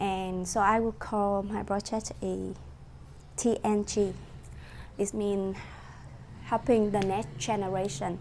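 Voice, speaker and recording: A woman with a Vietnamese accent speaks at a very slow pace with fairly even intonation and long, frequent pauses. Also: medium pitch for a woman. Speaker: student presenting a course project. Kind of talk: class presentation. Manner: halting, many fillers.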